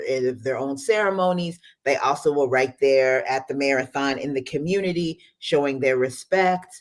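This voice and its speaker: The speaker has an American accent. The pace is moderate, with hardly any pauses. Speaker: immigrant rights organization director. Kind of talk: radio interview.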